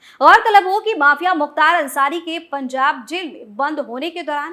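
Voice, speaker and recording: A woman speaks in a raised, projected voice with a high pitch. Her tone is bright and sharp, and her intonation is lively. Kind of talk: TV news report narration.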